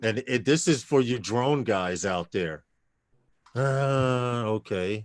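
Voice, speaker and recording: Speaking at a very slow pace, a man with a slight New York accent talks at a medium pitch. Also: ordinary pitch variation. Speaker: livestream panel host. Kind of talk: casual chat.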